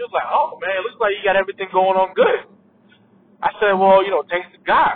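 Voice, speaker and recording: A man's high-pitched voice with an African accent, ordinary pitch variation and a fairly quick pace. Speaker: podcaster. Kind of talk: casual solo monologue, unscripted. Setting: in a car while driving. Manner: casual, conversational.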